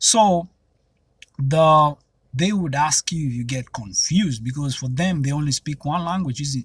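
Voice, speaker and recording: At a fairly slow pace, a man speaks in a somewhat breathy, fairly high voice with ordinary pitch variation. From Kenya. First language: Kenyan mother tongue, also Swahili. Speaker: YouTuber. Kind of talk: casual vlog monologue. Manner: conversational, with frequent fillers.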